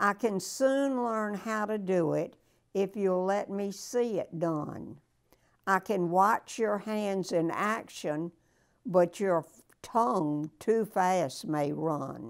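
Against a quiet background, a woman speaks very slowly in a medium pitch with a warm tone. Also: ordinary pitch variation. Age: 90s. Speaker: weekly motivational speaker reading a poem. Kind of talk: poem reading aloud, warm and personable, with a short chatty intro. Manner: slow, measured, deliberate; warm, grandmotherly, sincere. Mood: calm, gentle, inspirational. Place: home room. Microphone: lapel.

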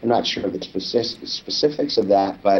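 This is a man speaking. He has an American accent. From Los Angeles, California. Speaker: documentary filmmaker; interview guest. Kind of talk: interview; interview answer. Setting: video call. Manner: halting, many fillers and repeats. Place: home room. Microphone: webcam.

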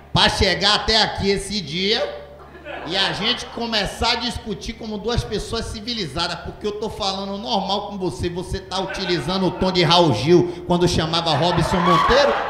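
A man's raised, projected voice at a moderate pace, with ordinary pitch variation over noticeable background noise. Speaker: stand-up comedian. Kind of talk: stand-up comedy storytelling. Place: stage. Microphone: handheld.

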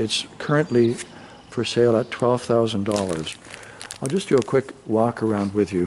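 A man's voice, with ordinary pitch variation, comes over light background noise. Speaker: boat sales agent. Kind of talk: sales walkaround commentary. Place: garage.

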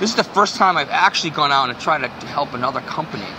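Speaking at a very fast pace with ordinary pitch variation, a man is heard through noticeable background noise. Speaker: guest. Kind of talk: interview answer. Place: street.

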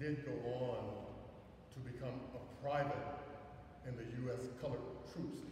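Amid light background noise and strong room echo, a man speaks with monotone, flat intonation. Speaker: speaker. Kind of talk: sermon. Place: church. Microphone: camera far.

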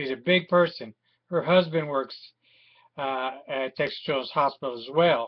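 Against a quiet background, a man with a fairly high pitch talks at a moderate pace, with ordinary pitch variation and big swings in loudness. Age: 50s. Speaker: war veteran and aggrieved father. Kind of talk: personal video appeal. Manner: halting, with many fillers. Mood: aggrieved, indignant. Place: home room. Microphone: webcam.

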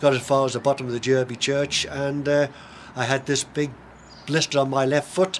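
A man with a Manx accent speaks in a monotone, flat intonation at a fairly quick pace, with light background noise. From Isle of Man. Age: 70s. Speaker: long-distance race walker. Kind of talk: interview answer. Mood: relaxed reminiscing. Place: garden. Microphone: camera far.

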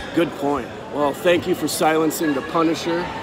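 A man with a fairly high pitch is heard against noticeable background noise. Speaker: wrestling coach. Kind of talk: heated sideline coaching during a wrestling match, barked instructions. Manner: loud, rapid-fire, shouted commands and repeated cues; animated, urgent, intense.

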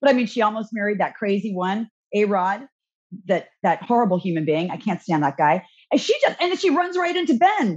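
A woman at a medium pitch, animated and somewhat breathy, fairly quick, with very wide pitch swings over a quiet background. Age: 50s. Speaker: radio host. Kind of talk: casual chat. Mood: candid, chatty gossip. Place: home room. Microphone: video call.

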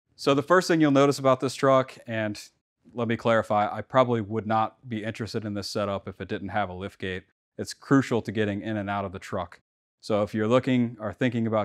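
Over a quiet background, a man talks at a fairly quick pace in an unremarkable speaking voice. His pitch is fairly low, with ordinary pitch variation. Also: big swings in loudness. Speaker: contractor showing his tool truck. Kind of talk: casual tour walkthrough. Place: garage.

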